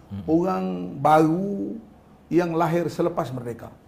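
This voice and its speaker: Audible room echo surrounds a high-pitched man whose intonation is lively. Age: 60s. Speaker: politician. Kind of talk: talk show interview. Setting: studio.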